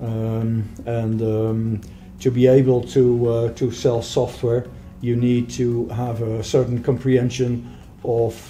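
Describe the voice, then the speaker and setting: Against light background noise, a man with a Dutch accent speaks in a monotone, flat intonation. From Netherlands, Rotterdam area; Netherlands. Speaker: software sales manager; interviewee. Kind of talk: interview. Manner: halting. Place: meeting room. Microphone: camera far.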